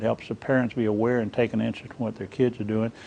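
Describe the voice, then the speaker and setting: His voice has a dark, mellow tone. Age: 60s. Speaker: interviewed expert on internet safety. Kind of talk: interview.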